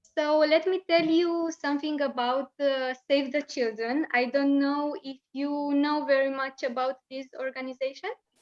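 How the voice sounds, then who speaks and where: A woman speaks with a Romanian accent at a fairly slow pace, her pitch high with ordinary variation. The sound is dry and close, with no echo. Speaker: children's rights NGO education coordinator. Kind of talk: lecture. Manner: halting.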